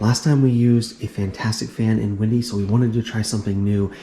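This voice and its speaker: Over noticeable background noise, a man talks with fairly even intonation at a fairly low pitch. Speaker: RV lifestyle vlogger. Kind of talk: casual vlog.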